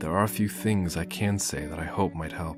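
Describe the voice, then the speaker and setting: The speaker uses lively intonation at a moderate pace. Music plays in the background. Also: man. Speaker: amateur story narrator. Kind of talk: story reading. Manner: emotional, heartfelt.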